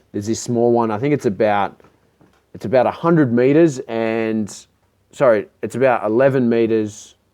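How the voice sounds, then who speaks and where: A man with an Australian accent speaks at a moderate pace, his medium pitch rising and falling in an ordinary way. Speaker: electric skateboard builder and vendor. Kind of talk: Q&A video. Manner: casual, many fillers.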